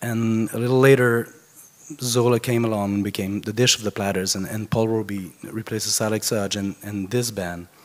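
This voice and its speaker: A fairly low-pitched man in a monotone, flat delivery over noticeable background noise. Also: moderate pace. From France. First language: French. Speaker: concert producer and biographer. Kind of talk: eulogy speech. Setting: funeral gathering. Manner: halting.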